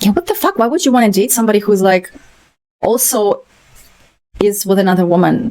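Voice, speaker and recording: A woman with a non-native accent and medium pitch speaks at a fairly quick pace with long, frequent pauses, very even loudness and ordinary pitch variation. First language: not English. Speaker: book commentator. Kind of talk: reading aloud with casual commentary. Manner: hesitant, halting with fillers.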